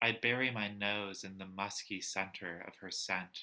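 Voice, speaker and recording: This soft-spoken man talks at a fairly slow pace with a fairly low pitch. His tone is bright and sharp, with fairly even intonation. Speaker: poet. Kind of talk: poetry reading. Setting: video call.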